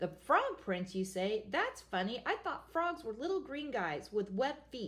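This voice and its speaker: A woman puts on a croaky character voice with very wide pitch swings. She speaks at a moderate pace. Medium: read story.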